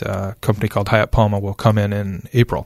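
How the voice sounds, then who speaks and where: With an Upper Midwest accent, a man speaks in a fairly low pitch at a moderate pace, the sound dry and close with no echo. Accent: Upper Midwest American. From West Michigan (Spring Lake). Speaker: downtown development official. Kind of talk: interview. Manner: halting, many fillers.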